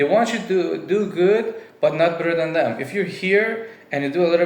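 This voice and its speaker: A man with a non-native accent speaks with ordinary pitch variation, with audible room echo and noticeable background noise. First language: not English. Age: 20s. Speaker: vlogger. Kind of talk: personal monologue. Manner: casual, with fillers.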